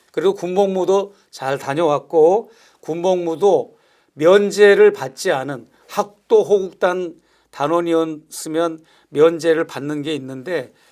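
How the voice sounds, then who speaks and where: A man speaks at a very slow pace. His voice is high for a man, with ordinary pitch variation. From South Korea, Gyeonggi (Yangpyeong). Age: 60s. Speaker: pastor. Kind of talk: interview.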